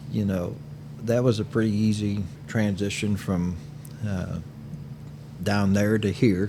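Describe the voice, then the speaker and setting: A man with a fairly low voice speaks at a fairly slow pace, leaving long, frequent pauses, with audible echo from the room. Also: fairly even intonation. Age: 60s. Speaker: cigar shop owner and podcast co-host. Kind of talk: casual chat.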